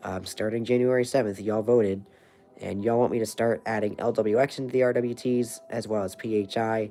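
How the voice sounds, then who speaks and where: A man with an American accent at a medium pitch, speaking at a fairly quick pace in a monotone, flat delivery, with music in the background. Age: 20s. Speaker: weather livestreamer. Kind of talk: casual livestream chat. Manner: halting, many fillers.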